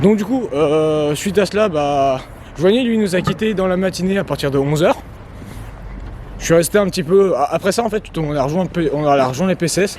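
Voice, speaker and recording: At a moderate pace, a man speaks in a high pitch with ordinary pitch variation. Noticeable background noise can be heard. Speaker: vlogger. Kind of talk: casual vlog narration. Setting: outdoors walking near a road. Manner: halting, many fillers.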